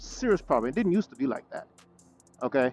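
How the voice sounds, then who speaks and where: Lively intonation from a man, with music in the background. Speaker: motorcycle vlogger. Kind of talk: casual vlog monologue. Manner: stuttering.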